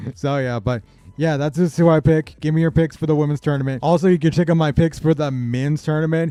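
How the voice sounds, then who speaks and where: With music in the background, a man speaks at a very fast pace with fairly even intonation. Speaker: sports YouTuber. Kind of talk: casual bracket predictions monologue. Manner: casual, filler-heavy.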